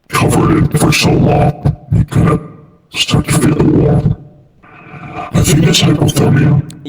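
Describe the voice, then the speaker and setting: A put-on character voice delivers the lines at a fairly slow pace with monotone, flat intonation. The loudness stays very even, and a clear echo is heard. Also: man, fairly high pitch for a man. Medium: machinima. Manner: blunt, deadpan.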